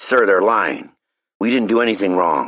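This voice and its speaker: A man puts on a raspy character voice at a medium pitch, speaking at a moderate pace. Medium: read story.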